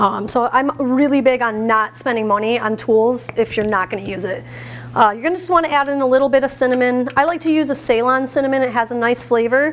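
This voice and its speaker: Loud and at a very fast pace, a woman speaks with a high pitch and ordinary pitch variation over noticeable background noise. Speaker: plant-based chef. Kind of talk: cooking demonstration. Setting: stage with audience, microphone.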